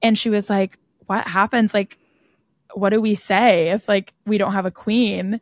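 Using monotone, flat intonation, a woman with a medium pitch talks at a fairly slow pace in a dry, close sound with no echo. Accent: General American. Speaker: podcast host, college student. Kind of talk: casual chat.

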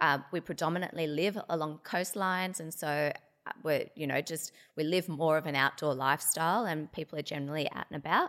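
In an Australian accent, a woman with a very deep, low voice speaks at a fairly quick pace, her intonation fairly even. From Australia, Sydney and Hobart. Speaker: dermatologist. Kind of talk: interview. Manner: hesitant, many fillers.

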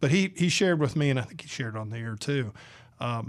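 A man talks with a Southern US accent. His pitch is medium and his pace fairly quick. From Georgia, US South. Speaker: radio host and editorial cartoonist. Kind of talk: casual chat. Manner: animated.

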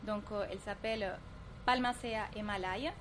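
A woman speaks with a Spanish accent at a fairly high pitch. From Colombia. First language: Spanish (speaking French). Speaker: entrepreneur. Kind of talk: interview.

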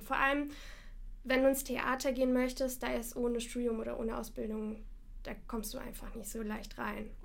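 High-pitched woman at a moderate pace, with audible room echo and noticeable background noise. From Russia, Moscow. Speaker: actress and voice actor. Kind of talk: casual chat.

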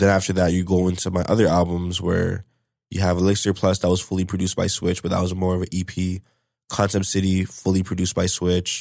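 In a Toronto accent, a man with a very deep, low pitch talks very fast in a monotone, flat intonation, recorded very cleanly with a silent background. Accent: Toronto-area Canadian English. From Canada, Brampton, Ontario. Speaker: rapper. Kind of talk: casual interview.

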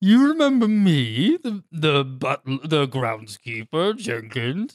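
This is a put-on character voice at a middle pitch. It moves at a very slow pace with very wide pitch swings. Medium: actual play. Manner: formal, gentlemanly, punning.

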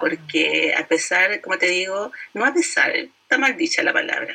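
This woman speaks at a fairly slow pace with ordinary pitch variation. Noticeable background noise runs behind her. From Chile. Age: 50s. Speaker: direct sales entrepreneur. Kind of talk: interview.

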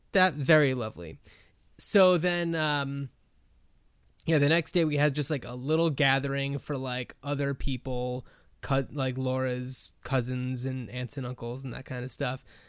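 A man with an American accent, an ordinary speaking voice, ordinary pitch variation and a fairly slow pace, on a very clean recording with a silent background. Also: medium pitch for a man. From New Jersey, US. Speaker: podcast co-host. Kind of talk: casual chat.

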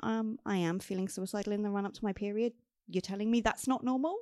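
A woman speaks in an ordinary speaking voice at medium pitch with ordinary pitch variation. The sound is dry and close with no echo, over a quiet background. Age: 30s. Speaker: menstrual health advocate and patient representative. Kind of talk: interview, personal testimony.

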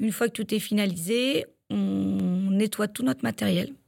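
A woman's medium-pitched voice at a moderate pace. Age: 30s. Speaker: livestock milk-weighing technician. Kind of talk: interview. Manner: hesitant, with fillers.

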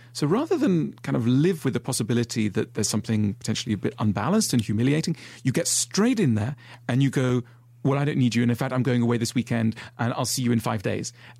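A man talks very fast at a medium pitch, his loudness very even, his pitch varying in an ordinary way, and his voice somewhat breathy. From Switzerland. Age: 40s. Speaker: author. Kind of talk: casual chat.

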